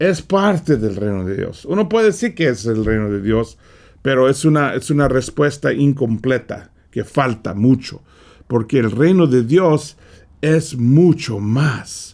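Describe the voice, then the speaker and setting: A man with a medium pitch talks at a fairly slow pace with lively intonation. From California, US. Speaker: preacher. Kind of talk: Bible study lesson. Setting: studio. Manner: halting, frequent repetitions.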